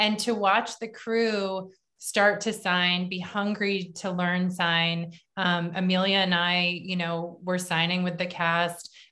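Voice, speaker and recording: A woman's bright, sharp tone sits at a medium pitch, delivered at a very slow pace in a monotone, flat intonation. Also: quiet background. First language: English (hearing person). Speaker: film director and writer; guest. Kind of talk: panel Q&A interview. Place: home room. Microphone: video call.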